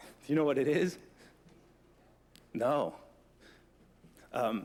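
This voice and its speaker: A man speaks with an American accent and vocal fry at a fairly high pitch. His pace is very slow, with ordinary pitch variation. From New Jersey. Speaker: forensic trace evidence examiner. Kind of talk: conference presentation. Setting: conference room with audience. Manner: casual, joking.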